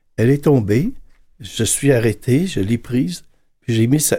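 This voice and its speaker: On a very clean recording with a silent background, a man speaks at moderate pace and medium pitch. His tone is dark, mellow and somewhat breathy, with ordinary pitch variation. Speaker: priest. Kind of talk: panel discussion.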